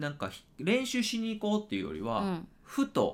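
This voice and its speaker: A man's pitch swings very widely as he talks at a moderate pace, on a very clean recording with a silent background. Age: 30s. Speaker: podcast co-host. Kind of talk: casual chat.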